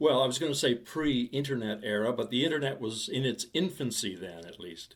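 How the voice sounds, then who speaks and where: With an ordinary speaking voice, a man at medium pitch talks at a moderate pace, his intonation lively and his loudness swinging widely. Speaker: podcast host. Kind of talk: podcast interview questions.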